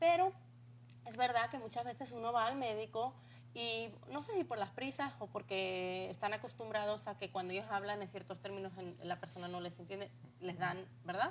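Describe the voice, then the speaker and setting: A woman's voice with vocal fry and very wide pitch swings. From Spain. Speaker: talk show host. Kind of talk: interview.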